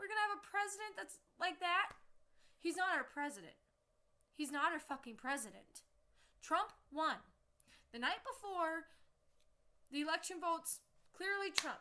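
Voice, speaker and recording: Shouting in a raised, projected voice, a woman with an American accent speaks at an extremely high pitch in a bright, sharp tone, with long, frequent pauses. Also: moderate pace. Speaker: vlogger. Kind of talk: angry rant to camera. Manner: loud, yelling.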